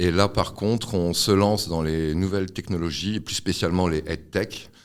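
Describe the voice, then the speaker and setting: Recorded very cleanly with a silent background, a man talks in a very deep, low pitch with ordinary pitch variation. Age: 40s. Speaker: tech startup founder and serial entrepreneur. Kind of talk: interview. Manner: hesitant, many fillers.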